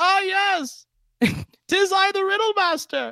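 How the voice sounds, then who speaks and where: The speaker puts on a character voice and moves at a fairly slow pace. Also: man, extremely high pitch for a man. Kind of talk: archaic, old-fashioned. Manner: theatrical, silly, dramatic.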